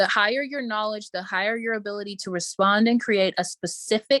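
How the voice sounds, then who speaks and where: An animated woman's voice at a medium pitch, dry and close with no echo. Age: 20s. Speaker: business coach. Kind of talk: motivational talk; webinar sales pitch. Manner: fast.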